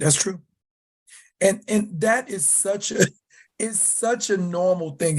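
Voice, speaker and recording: Against a quiet background, a man with a Southern US accent speaks in an animated tone at a moderate pace. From US South. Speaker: leather community writer and educator. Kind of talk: podcast interview. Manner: loud.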